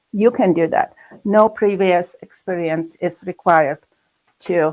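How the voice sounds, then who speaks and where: A woman with a German accent speaks very slowly at a fairly low pitch with ordinary pitch variation, in a dry, close sound with no echo. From Germany. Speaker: art teacher. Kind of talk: online presentation. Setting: recorded video session. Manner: halting.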